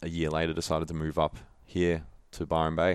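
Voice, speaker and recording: Against a quiet background, a man with an Australian accent speaks in a very deep, low pitch. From Melbourne, Australia. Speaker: former pro footballer and holistic nutritionist. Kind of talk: casual interview chat.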